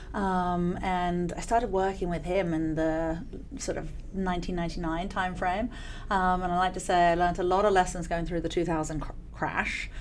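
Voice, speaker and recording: In an English accent, a woman speaks at a moderate pace in a fairly low pitch with monotone, flat intonation, with audible room echo. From England. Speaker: venture capital investor. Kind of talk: interview.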